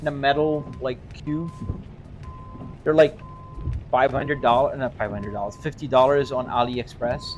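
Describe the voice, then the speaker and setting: A man speaks in a relaxed tone over music in the background. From Brazil. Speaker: gaming streamer. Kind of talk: live stream commentary. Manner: casual, relaxed.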